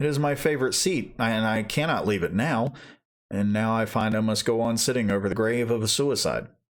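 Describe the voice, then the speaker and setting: Talking at a fairly quick pace, a man with a normal speaking voice keeps a medium pitch, very even loudness and ordinary pitch variation. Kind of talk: audiobook reading.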